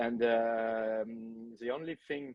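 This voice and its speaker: With a French accent, a man speaks at a medium pitch. His intonation is monotone and flat. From France. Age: 30s. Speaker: film director. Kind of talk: podcast interview. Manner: hesitant, many fillers.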